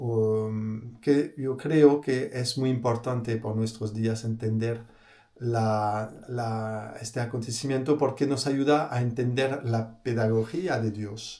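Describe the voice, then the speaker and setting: Dark, mellow tone from a man at medium pitch, very slow pace and fairly even intonation. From France. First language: French (speaking Spanish). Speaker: priest. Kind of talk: religious talk. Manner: halting, many fillers and repeated words.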